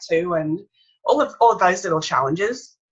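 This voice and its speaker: With an Australian accent, a woman speaks in a fairly low pitch and a bright, sharp tone. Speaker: author and speaker. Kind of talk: interview. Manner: slightly impaired speech after brain injury.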